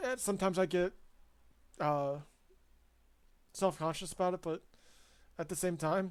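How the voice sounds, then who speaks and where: The speaker has an American accent and a moderate pace. Long, frequent pauses break up the speech. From Ohio, US Midwest. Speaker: sim racing streamer. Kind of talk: casual gameplay commentary. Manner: trips over words; hesitant, many fillers.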